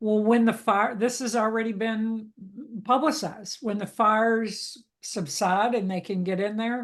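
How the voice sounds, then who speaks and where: A woman speaks in a Southern accent at a fairly slow pace. The background is quiet. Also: fairly high pitch for a woman, fairly even intonation. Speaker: pet food consumer advocate. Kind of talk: interview conversation.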